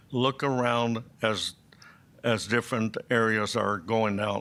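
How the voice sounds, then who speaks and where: A man's bright, sharp voice with an American accent and fairly even intonation. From Arizona (Prescott). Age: 80s+. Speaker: public commenter. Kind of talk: public comment at hearing. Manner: halting.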